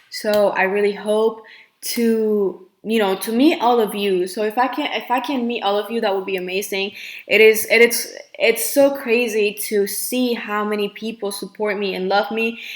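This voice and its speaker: With a Spanish accent, a woman talks at a moderate pace in a fairly high pitch, her intonation fairly even. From Colombia. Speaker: nail technician. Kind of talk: live Q&A. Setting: livestream. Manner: hesitant, filler-heavy.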